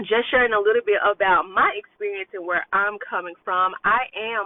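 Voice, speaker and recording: With hardly any pauses, a woman speaks at a moderate pace and medium pitch in a normal speaking voice, her intonation fairly even. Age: 30s. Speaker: self-love coach. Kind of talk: casual vlog monologue. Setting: in a car. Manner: conversational with fillers.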